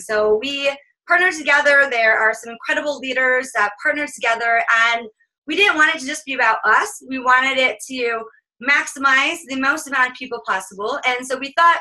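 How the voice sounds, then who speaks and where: Raised and projected, a woman's high, bright, sharp voice moves at a fairly quick pace with ordinary pitch variation. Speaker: business coach. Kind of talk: live webinar coaching session. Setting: group call. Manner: fast; animated.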